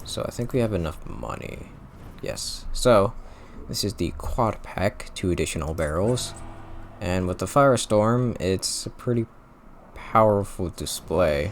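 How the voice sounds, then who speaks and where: A man with an unremarkable speaking voice, fairly low pitch, ordinary pitch variation and a fairly slow pace. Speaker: gaming commentator. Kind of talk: gameplay commentary. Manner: casual, filler-heavy.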